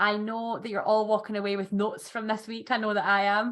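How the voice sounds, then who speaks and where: A woman with a Scottish accent talks very fast at a fairly high pitch. Her intonation stays flat and monotone. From Scotland. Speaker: podcast host. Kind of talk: casual interview chat.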